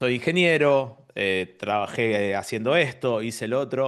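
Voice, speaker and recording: The background stays quiet. A man talks with lively intonation. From Argentina. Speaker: engineer and business consultant. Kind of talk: interview.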